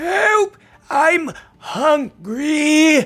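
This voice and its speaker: This is a put-on character voice at a high pitch. The speaker is shouting. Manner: yelling, pleading.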